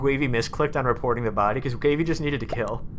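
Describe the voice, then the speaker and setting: A man's very fast, fairly high-pitched speech amid audible room echo. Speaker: game streamer. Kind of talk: live stream gaming chat. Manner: casual, halting.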